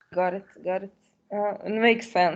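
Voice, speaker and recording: A woman speaks with a non-native accent. Her voice has a medium pitch. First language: not English. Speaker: program participant. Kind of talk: casual discussion.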